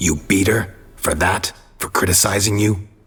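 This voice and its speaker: At a moderate pace, a put-on character voice comes out growling. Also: man, fairly low pitch for a man. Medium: video game. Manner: terse, flat, clipped.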